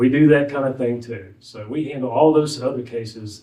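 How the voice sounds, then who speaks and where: The voice has a dark, mellow tone and a strong Southwest Virginia accent. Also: man. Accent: thick Southwest Virginia. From Southwest Virginia (Wise County). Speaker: former judge, legal aid lawyer. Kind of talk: ceremony speech. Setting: courthouse graduation ceremony. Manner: halting, many fillers.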